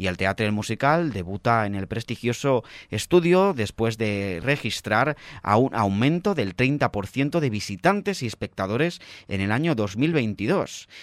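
A man speaks in a normal speaking voice at a medium pitch and a fairly slow pace, with lively intonation. The sound is dry and close with no echo, on a very clean recording with a silent background. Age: 20s. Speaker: radio theatre section presenter. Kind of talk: radio interview and arts news.

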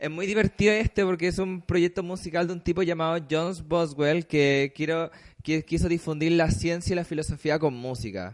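Speaking with a Chilean accent, a man at a high pitch keeps a moderate pace with hardly any pauses and ordinary pitch variation. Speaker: online radio co-host. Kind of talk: casual chat.

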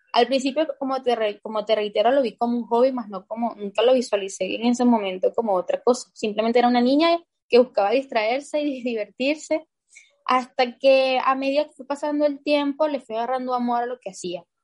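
A woman's high-pitched voice at a fairly quick pace, with ordinary pitch variation and big swings in loudness. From Venezuela. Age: 20s. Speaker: basketball player. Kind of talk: interview.

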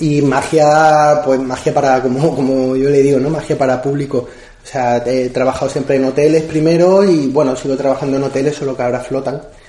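Over noticeable background noise, a man with a fairly high pitch talks at a fairly quick pace in a monotone, flat intonation. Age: 30s. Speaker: magician. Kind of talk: interview. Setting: at his home.

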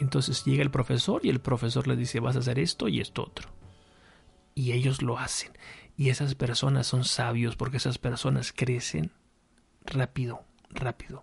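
Marked by vocal fry, a man speaks at a moderate pace with long, frequent pauses. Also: medium pitch for a man, fairly even intonation. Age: 40s. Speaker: podcast host. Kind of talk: solo monologue podcast, reflective talk. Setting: home studio with microphone and lamp. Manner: halting, many repetitions and fillers.

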